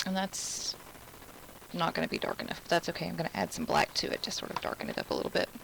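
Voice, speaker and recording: Through noticeable background noise, a woman with an American accent talks at a very fast pace. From Alabama. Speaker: craft instructor. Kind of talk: live craft tutorial. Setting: live stream. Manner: casual, chatty.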